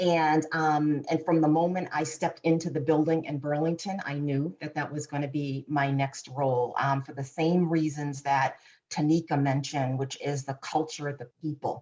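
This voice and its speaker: In a Boston accent, a woman talks at a moderate pace with a very deep, low pitch, a dark, mellow tone and monotone, flat intonation. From Boston, Massachusetts. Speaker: corporate insights executive. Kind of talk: panel discussion.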